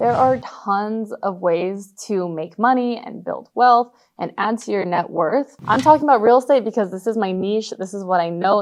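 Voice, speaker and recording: A woman's medium-pitched voice, an ordinary speaking voice, at a moderate pace with hardly any pauses and ordinary pitch variation. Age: 20s. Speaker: real estate agent and content creator. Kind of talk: casual talking-head tutorial.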